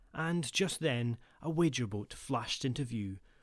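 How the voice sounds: Intonation is lively as a natural reading voice goes on.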